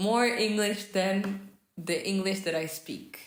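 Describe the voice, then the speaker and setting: Audible room echo hangs on a fairly slow voice with a Portuguese accent. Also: woman. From Portugal. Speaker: vlogger. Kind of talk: casual vlog talk while crafting. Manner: hesitant, with fillers.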